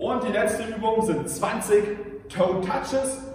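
Strong room echo and light background noise surround a man's high-pitched voice. He talks at a very slow pace with ordinary pitch variation. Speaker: fitness coach. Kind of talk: workout instruction. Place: gym. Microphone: camera far.

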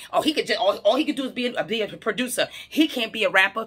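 A woman speaks in a raised, projected voice at a very fast pace with very wide pitch swings. The background is quiet. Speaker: social media commentator. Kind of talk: casual vlog commentary. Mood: passionate, argumentative. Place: home room. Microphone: phone near.

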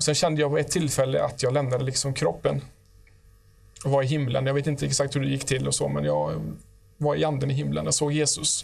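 A man at a very fast pace with very even loudness, over a quiet background. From Sweden. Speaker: guest giving testimony; guest. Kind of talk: testimony. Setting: studio. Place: studio. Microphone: lapel.

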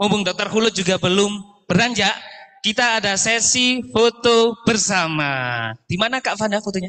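Over a quiet background, a man with a high pitch talks at a moderate pace. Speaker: master of ceremonies; event emcee. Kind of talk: event hosting, casual chat. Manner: animated, joking. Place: hall. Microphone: handheld.

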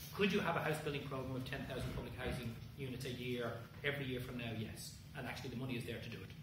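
A man talks very fast with ordinary pitch variation, heard through audible room echo and noticeable background noise. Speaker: speaker. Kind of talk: answer to audience questions. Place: hall. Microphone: camera far.

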